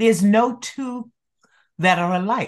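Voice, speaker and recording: A woman at a fairly slow pace over a quiet background. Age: 80s. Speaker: skin care educator. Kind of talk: casual interview chat. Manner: animated, passionate.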